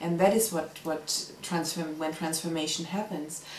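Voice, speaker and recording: A woman with a non-native accent speaks at a moderate pace with fairly even intonation, amid noticeable background noise and audible room echo. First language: not English. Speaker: community volunteer, mother. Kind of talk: interview testimony.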